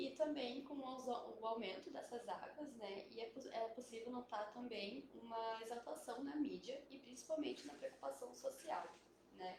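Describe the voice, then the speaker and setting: A soft-spoken woman's high-pitched voice with noticeable background noise and audible room echo. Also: ordinary pitch variation, moderate pace. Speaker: biologist. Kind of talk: live stream panel talk. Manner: hesitant, many fillers. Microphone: quiet at first, mic moved.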